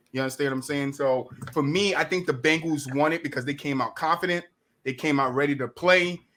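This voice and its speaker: Bright and sharp, a man's fairly high voice with an American accent moves at a fairly quick pace with fairly even intonation. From New Jersey. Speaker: podcast host. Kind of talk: casual sports chat.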